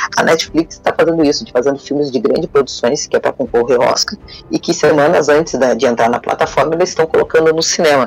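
Over music in the background, a man speaks very fast with hardly any pauses. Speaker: fan news site founder. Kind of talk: casual chat.

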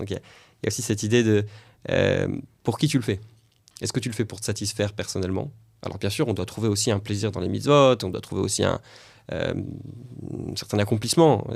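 The speech moves at a fairly quick pace but breaks into long, frequent pauses. Pitch variation is ordinary, on a very clean recording with a silent background. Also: man, fairly low pitch for a man. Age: 30s. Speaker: podcast host, rabbi teacher. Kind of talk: interview.

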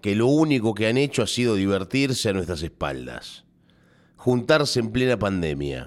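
This man speaks at medium pitch and a fairly quick pace. His tone is animated and his intonation lively. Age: 30s. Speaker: radio host. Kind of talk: radio editorial monologue.

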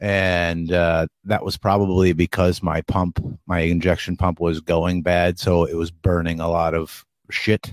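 A man with a very deep, low voice speaks slowly and in a flat monotone, with an American accent. The recording is very clean with a silent background and a dry, close sound free of echo. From US Northeast. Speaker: podcast host. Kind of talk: casual chat.

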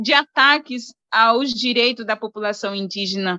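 A woman raises and projects her bright, sharp voice, recorded dry and close with no echo. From Brazilian Amazon, banks of the Solimões River. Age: young. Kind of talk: interview conversation.

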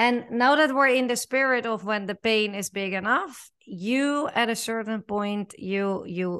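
Against a quiet background, a woman with a Dutch accent speaks at a fairly slow pace. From the Netherlands. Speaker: podcast host. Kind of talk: interview, podcast host. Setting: video call.

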